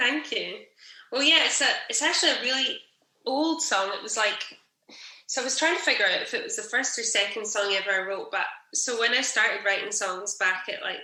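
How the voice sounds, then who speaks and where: A woman talks at a fairly quick pace with a fairly high pitch. Audible room echo fills the recording. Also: lively intonation. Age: 30s. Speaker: singer-songwriter. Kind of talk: casual interview chat.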